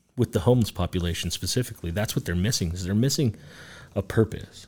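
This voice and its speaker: Speaking very fast with lively intonation in an American accent, this somewhat breathy voice has a dark, mellow tone on a very clean recording with a silent background. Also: man. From Reno, Nevada. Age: 30s. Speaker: bar owner. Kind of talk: casual chat.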